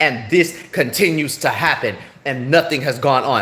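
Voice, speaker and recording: A man with a fairly high pitch speaks in an animated tone with ordinary pitch variation. Noticeable background noise runs underneath. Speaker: livestreamer. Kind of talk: live stream rant. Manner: halting.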